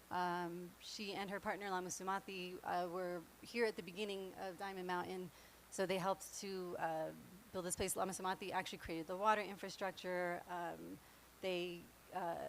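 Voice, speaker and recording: In an American accent, a woman speaks at a medium pitch. Her intonation is monotone and flat. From New York. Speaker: meditation class teacher. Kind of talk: class instruction. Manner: fast.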